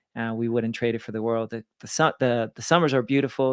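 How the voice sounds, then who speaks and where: A man with a slight Venezuelan accent, medium pitch and a fairly quick pace, in a very clean recording with a silent background and a dry, close sound free of echo. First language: Spanish. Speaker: lender and business owner. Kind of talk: interview. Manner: energetic.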